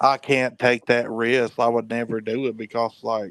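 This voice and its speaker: Speaking at a fairly slow pace, a man with a medium pitch keeps a monotone, flat intonation in a dry, close sound with no echo. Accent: Southern. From North Carolina, Hickory. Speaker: rapper and street preacher, caller. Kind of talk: casual chat.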